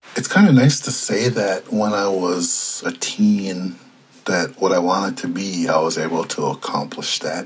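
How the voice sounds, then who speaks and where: Over noticeable background noise, a man with an American accent speaks at a fairly slow pace in a fairly low pitch with ordinary pitch variation. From Minnesota, Red Lake reservation. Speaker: journalist. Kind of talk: interview.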